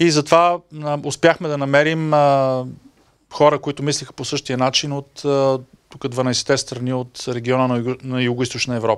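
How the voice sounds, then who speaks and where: Over a quiet background, a man speaks at a moderate pace with a fairly high pitch. His intonation is fairly even, but his loudness swings a lot. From Bulgaria. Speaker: EU official, media development expert; guest. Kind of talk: talk to an audience. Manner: hesitant, many filler sounds. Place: meeting room. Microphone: handheld.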